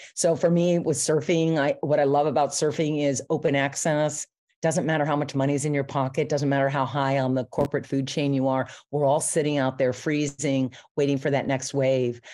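Against a quiet background, a woman speaks in a very deep, low pitch. Her intonation is monotone and flat, and her loudness stays very even. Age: 60s. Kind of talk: interview.

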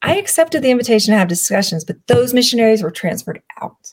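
Speaking at a very fast pace in a Southern US accent, the voice sounds somewhat breathy. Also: woman. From US South. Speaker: public speaker and chronic illness advocate. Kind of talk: personal testimony in interview.

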